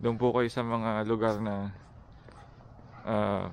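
A man's fairly low voice carries a monotone, flat intonation. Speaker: vlogger, engineer job seeker. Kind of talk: casual vlog talk. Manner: halting, many fillers.

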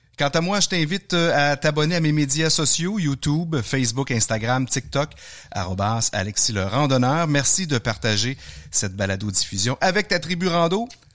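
A man with a Quebec accent speaks at a fairly high pitch and moderate pace. His pitch swings very widely while his loudness stays very even. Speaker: outdoor podcast host. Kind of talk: interview.

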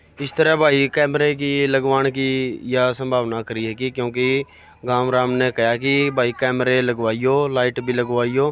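A man speaks at a fairly slow pace, his voice dry with no echo over light background noise. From Haryana, India. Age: 20s. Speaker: village council member. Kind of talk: interview answers. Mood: earnest promises to villagers. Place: home room. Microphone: handheld.

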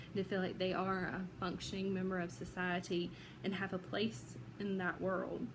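A woman with a Southern US accent and vocal fry, moderately paced, fairly even in intonation and very even in loudness, over noticeable background noise. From Georgia, USA. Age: 30s. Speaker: psychology student. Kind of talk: self-introduction for class. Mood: earnest, emotional personal story. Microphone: phone near.

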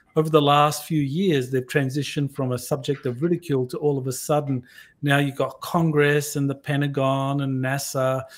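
Over a quiet background, a man with an Australian accent talks in a monotone, flat intonation. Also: fairly high pitch for a man, moderate pace. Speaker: podcast host. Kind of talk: interview. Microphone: webcam.

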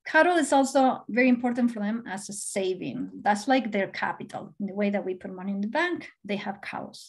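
Somewhat breathy voice with a Spanish accent, at a fairly quick pace with hardly any pauses, lively intonation, and a quiet background. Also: woman, big swings in loudness. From Argentina. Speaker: professor and conservation biologist. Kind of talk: lecture. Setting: video call. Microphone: webcam.

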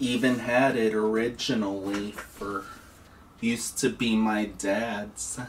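Very slow pace, fairly even intonation and light background noise. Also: man. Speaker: product reviewer. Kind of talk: casual review demonstration. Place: home room. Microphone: phone near.

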